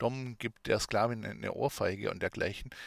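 Monotone, flat intonation at a moderate pace, with dry, close sound with no echo and a very clean recording over a silent background. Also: man. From Swabia, southwest Germany. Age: 30s. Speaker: podcast host and adult shop owner. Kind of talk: educational monologue.

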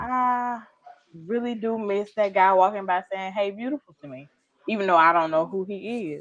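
A woman with an ordinary speaking voice, ordinary pitch variation, and a moderate pace. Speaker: podcast co-host. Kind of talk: casual chat.

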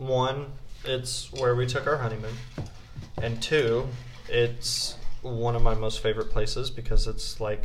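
A man speaks at a fairly slow pace, with audible room echo and noticeable background noise. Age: 20s. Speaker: university student, host's husband. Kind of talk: casual chat.

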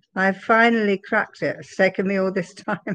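A woman with an English accent at a medium pitch, fairly quick pace, and monotone, flat intonation. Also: dry, close sound with no echo. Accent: English accent, still noticeable. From London area, England. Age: 70s. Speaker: interviewee sharing life story. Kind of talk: interview testimony.

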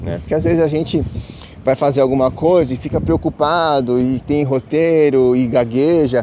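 A man speaking at a fairly slow pace in a dark, mellow tone, with ordinary pitch variation. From Brazil, São Paulo city. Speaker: spiritual podcaster. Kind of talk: casual spiritual monologue. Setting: outdoors, walking to the beach. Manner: halting, many fillers.

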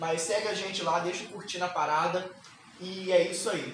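Against noticeable background noise and audible room echo, a man with a high voice talks at a moderate pace. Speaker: podcast co-host. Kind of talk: casual chat. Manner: animated.

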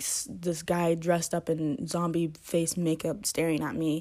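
A woman speaks with a dark, mellow tone at a fairly low pitch, her intonation fairly even. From US, Georgia. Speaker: solo podcaster. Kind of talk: casual storytelling monologue.

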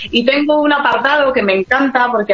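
A woman's voice shows ordinary pitch variation, and noticeable background noise can be heard around it. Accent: Spanish. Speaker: tour operator. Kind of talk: radio interview.

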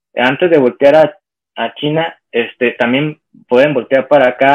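A man is speaking. He has a Mexican accent. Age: 40s. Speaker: online seller of handmade goods. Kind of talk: casual interview.

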